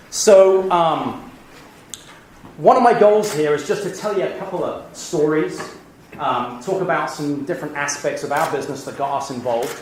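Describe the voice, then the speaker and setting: Over noticeable background noise and audible room echo, a man with an American accent talks at a moderate pace and fairly high pitch with lively intonation. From England. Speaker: business executive. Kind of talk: lecture.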